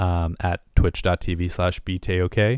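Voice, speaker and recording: This man's voice is very deep and low, captured in a very clean recording against a silent background. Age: 30s. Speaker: student and gaming podcaster. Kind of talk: casual solo podcast monologue. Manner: rambling, hesitant, self-correcting; casual, conversational.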